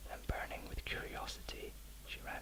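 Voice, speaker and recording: A man whispering at a moderate pace, with noticeable background noise. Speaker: bedtime story reader. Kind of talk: audiobook-style reading of a children's classic.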